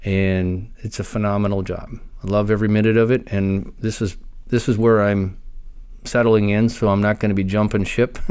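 A fairly low male voice in an American accent, monotone and flat, at a moderate pace. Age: 50s. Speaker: law enforcement officer. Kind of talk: interview, personal story.

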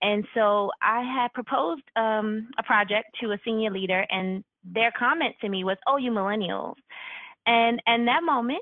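A woman with an American accent talks at a moderate pace in an ordinary speaking voice, fairly high in pitch with ordinary pitch variation. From New York. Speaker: university HR executive. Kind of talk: podcast interview.

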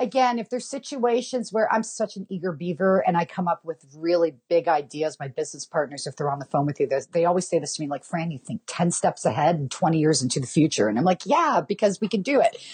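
With a Canadian accent, a woman talks at a very fast pace with hardly any pauses, using an energetic, somewhat breathy tone, a fairly low pitch and very wide pitch swings, in a dry, close sound with no echo. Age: 40s. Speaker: mortgage broker. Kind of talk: interview.

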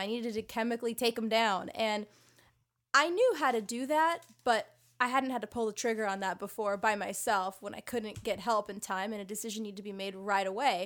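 A woman with a General American accent and an unremarkable speaking voice, fairly high in pitch with ordinary pitch variation, at a fairly quick pace, on a very clean recording with a silent background. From Southern California. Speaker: resident physician and podcast host. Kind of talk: casual chat, podcast hosting.

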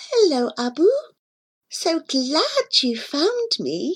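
A put-on character voice, creaky and squeaky, speaks in a high pitch at a very slow pace. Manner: eerie, welcoming.

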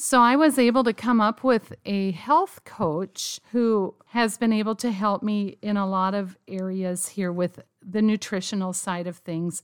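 A woman's normal speaking voice at medium pitch, fairly slow and with hardly any pauses, ordinary pitch variation, dry and close with no echo, very clean recording over a silent background. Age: 50s. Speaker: pastor's wife. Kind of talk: interview testimony.

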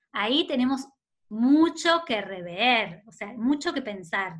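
This woman has a Rioplatense accent and a fairly high pitch. She talks at a fairly slow pace with very wide pitch swings. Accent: Argentine Rioplatense Spanish. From Argentina, Rosario (Santa Fe). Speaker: author and maternity therapist. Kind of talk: interview conversation.

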